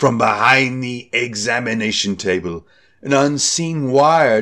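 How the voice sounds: Natural-sounding reading voice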